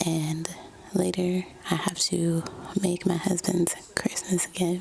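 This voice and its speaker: A soft-spoken woman with a fairly low pitch, monotone, flat intonation, very even loudness and a very slow pace, amid noticeable background noise. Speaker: lifestyle vlogger. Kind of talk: casual vlog narration.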